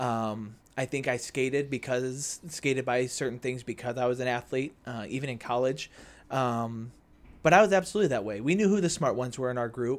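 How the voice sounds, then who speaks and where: A man with a medium-pitched voice and ordinary pitch variation talks at a fairly quick pace in a very clean recording with a silent background. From US Midwest (Naperville, Illinois). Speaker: church youth group mentor. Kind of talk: casual interview chat.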